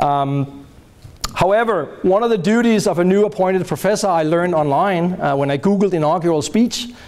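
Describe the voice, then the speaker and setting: A man's high-pitched voice with lively intonation over noticeable background noise. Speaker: professor. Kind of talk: lecture. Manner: loud.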